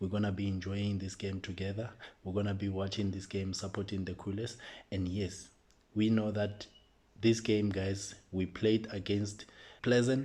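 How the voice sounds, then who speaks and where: A man speaks at a fairly low pitch and a moderate pace, with a dark, mellow tone. His voice is somewhat breathy, with monotone, flat intonation. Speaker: football fan channel host. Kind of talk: casual match preview.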